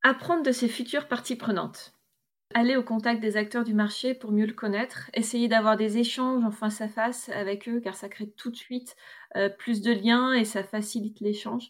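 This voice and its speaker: A woman speaks at a moderate pace in a fairly high pitch, her intonation fairly even, on a very clean recording with a silent background. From northern France, Roubaix area. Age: 30s. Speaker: eco grocery store co-owner. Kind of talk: testimony. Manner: hesitant, many fillers.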